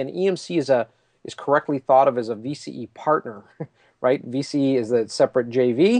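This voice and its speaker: A man with an ordinary speaking voice talks at a moderate pace with lively intonation. The sound is dry and close with no echo, over a quiet background. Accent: Canadian. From Canada. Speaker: tech company executive. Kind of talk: casual interview chat.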